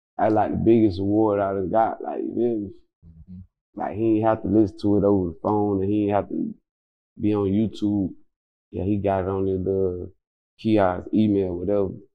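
A man with a Florida accent speaks at a moderate pace. His pitch is fairly low and his intonation monotone and flat. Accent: Southern US, Florida. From Florida, Quincy. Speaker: rapper. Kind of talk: casual interview.

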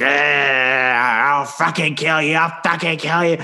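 A growling put-on character voice at a low-to-middle pitch and fairly slow pace, with noticeable background noise. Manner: snarling, growling, threatening.

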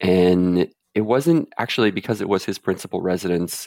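A Canadian accent in a dry, close sound with no echo. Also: man. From central Canada. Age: 30s. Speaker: caller seeking financial advice. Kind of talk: advice call.

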